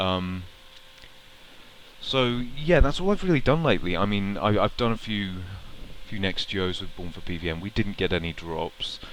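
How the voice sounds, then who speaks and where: With lively intonation, a man speaks at a moderate pace, leaving long, frequent pauses. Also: fairly low pitch for a man. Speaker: gaming vlogger. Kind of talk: casual vlog monologue. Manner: halting, many fillers.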